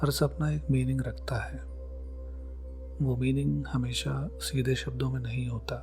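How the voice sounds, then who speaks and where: Over music in the background, a man with a very deep, low pitch speaks in a monotone, flat intonation with audible room echo. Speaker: psychology educator. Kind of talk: scripted narration. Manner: calm.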